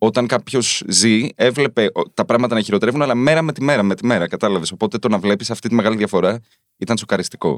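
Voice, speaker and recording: A man's medium-pitched voice at a very fast pace, dry and close with no echo. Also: ordinary pitch variation. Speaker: journalist and author. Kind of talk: casual chat. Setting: studio.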